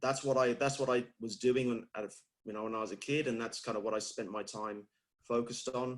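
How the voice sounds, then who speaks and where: At a moderate pace and medium pitch, a man with a British accent speaks with fairly even intonation and long, frequent pauses. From UK. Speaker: fitness industry leader. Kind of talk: interview.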